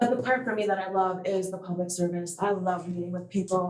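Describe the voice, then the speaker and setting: Speaking fairly fast, a woman is heard. Her voice sits at a medium pitch. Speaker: political candidate. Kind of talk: campaign speech at public meeting. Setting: township board meeting. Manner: loud.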